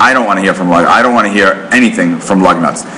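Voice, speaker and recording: Noticeable background noise sits behind a man who talks at a fairly quick pace in a New York accent, his pitch swinging very widely. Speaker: marketing author and speaker. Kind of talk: business presentation. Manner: fast.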